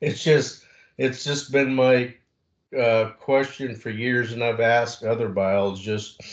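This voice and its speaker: A man's voice with fairly even intonation against a quiet background. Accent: American. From southeastern Oregon. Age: 60s. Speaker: hunter, audience member. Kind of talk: public meeting question.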